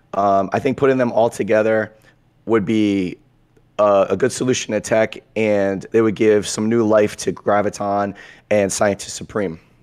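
The delivery moves at a moderate pace. The intonation is monotone and flat. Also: man, fairly low pitch for a man. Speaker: gaming content creator. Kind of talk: casual chat.

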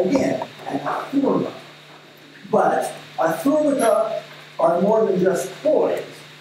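Very wide pitch swings mark a woman's fairly slow speech. Strong room echo and light background noise surround her. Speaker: speaker reading a scholarly text aloud. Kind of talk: academic reading. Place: meeting room.

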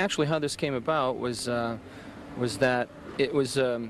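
Speaking at a moderate pace with ordinary pitch variation, a man comes through a dry sound with no echo and light background noise. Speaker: interviewee. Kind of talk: interview answer. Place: garden. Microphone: handheld.

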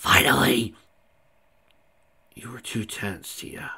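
Putting on a character voice, a man talks slowly with a husky, rough edge, vocal fry, a bright, sharp tone and ordinary pitch variation. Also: medium pitch for a man.

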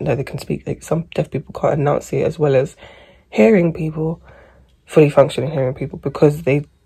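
A woman speaks at a moderate pace with a very deep, low pitch and a dark, mellow, somewhat breathy tone. Her intonation is fairly even, and the background is quiet. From England. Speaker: vlogger with endometriosis. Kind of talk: casual vlog chat. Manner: rambling, chatty. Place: home room. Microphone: phone near.

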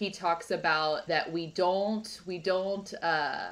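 A woman with fairly even intonation. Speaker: podcast host. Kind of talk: podcast interview. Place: home room. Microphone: video call.

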